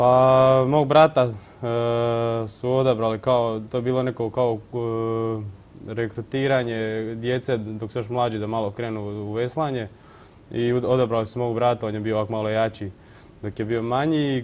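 The delivery is monotone, with flat intonation. It moves at a moderate pace. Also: man. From Croatia, Vukovar; Croatia. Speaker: rower, athlete; interview guest. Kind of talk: TV studio interview. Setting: TV studio. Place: studio. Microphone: lapel.

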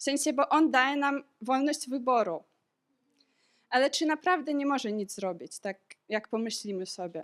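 Speaking at a moderate pace, a woman has a high pitch and lively intonation. The recording is very clean with a silent background, and the sound is dry and close, with no echo. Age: 20s. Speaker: medical student sharing a church testimony. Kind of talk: testimony.

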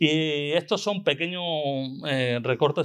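With ordinary pitch variation, a male voice talks over a quiet background. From Extremadura, Spain (La Vera area); Extremadura, Spain. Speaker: veterinarian and conference speaker; conference speaker. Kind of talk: conference talk; Q&A reply. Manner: halting, with many repetitions. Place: hall. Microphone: podium.

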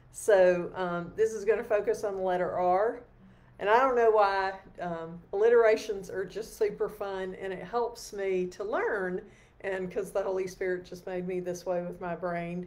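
Her pace is moderate. The woman keeps her intonation fairly even. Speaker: lay preacher leading evening prayer. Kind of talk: sermon. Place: home room. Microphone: webcam.

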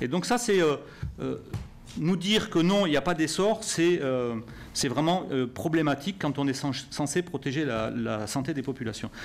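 A man talks at a fairly slow pace. His voice sits fairly high and his intonation is lively. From southwest France. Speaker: member of parliament; conference panelist. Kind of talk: press conference. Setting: press room with audience. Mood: serious, critical. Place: meeting room. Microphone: podium.

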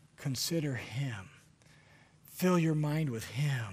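A man talks at a very slow pace with lively intonation. His voice is somewhat breathy. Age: 40s. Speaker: preacher. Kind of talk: sermon. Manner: animated. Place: church. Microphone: headset.

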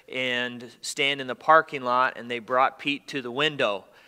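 Against a quiet background, a man speaks at a fairly slow pace with a bright, sharp tone. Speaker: pastor. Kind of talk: church announcements and prayer requests. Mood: earnest, somber. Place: church.

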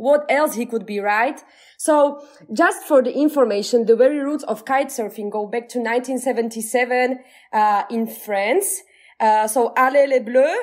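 A woman speaks with a high pitch. Her pace is fairly slow, and her pitch varies in an ordinary way. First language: Slovak. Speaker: podcast host. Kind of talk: casual chat. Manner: animated.

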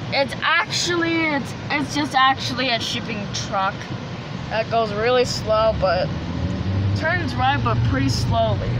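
Against loud background noise in a dry sound with no echo, the speech moves at a fairly slow pace with long, frequent pauses. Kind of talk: casual vlog chat. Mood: amused, surprised. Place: car. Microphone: phone near.

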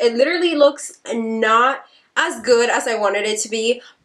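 Her voice sits high in pitch. The speaker is a woman whose pitch variation is ordinary. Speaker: beauty YouTuber. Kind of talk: casual talk to camera.

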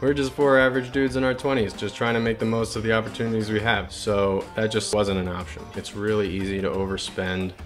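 A man with a fairly low pitch talks at a very fast pace with hardly any pauses over clear music in the background. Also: ordinary pitch variation. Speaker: travel vlogger. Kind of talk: casual vlog chat. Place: home room.

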